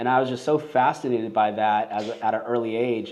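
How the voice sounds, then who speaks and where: Here is a man with a Los Angeles accent. He talks at a medium pitch and a very fast pace. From Los Angeles, US. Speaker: filmmaker and business owner. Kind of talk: podcast interview. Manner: casual, filler-heavy.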